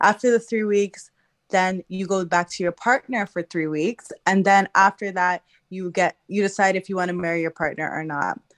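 A woman talks at a moderate pace with fairly even intonation, in a plain, everyday voice. The sound is dry and close, with no echo. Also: medium pitch for a woman. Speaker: audience participant sharing context. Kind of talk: casual chat. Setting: live audio room, unmuted from audience.

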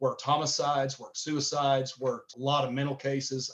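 A man with a Southern US accent speaks at a fairly quick pace. His pitch is fairly high, and his intonation is monotone and flat. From Tennessee. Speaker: gun-rights organization director. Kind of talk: interview.

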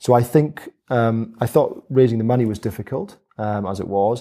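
In a Highland Scottish accent, a man with a medium pitch and a dark, mellow tone speaks at a moderate pace with fairly even intonation, on a very clean recording with a silent background. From Scottish Highlands, Dingwall near Inverness. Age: 40s. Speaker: helicopter pilot, farmer and distillery founder. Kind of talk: interview conversation. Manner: halting, many fillers.

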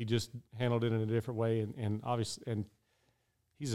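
A man with a West Texas accent, medium pitch and a dark, mellow tone. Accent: West Texas drawl. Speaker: professional rodeo roper. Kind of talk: interview storytelling.

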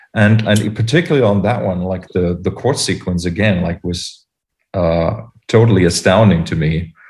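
Somewhat breathy and very deep, a man's voice with a German accent moves at a moderate pace with ordinary pitch variation. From Germany. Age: 40s. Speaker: podcast host. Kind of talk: casual chat. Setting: video call.

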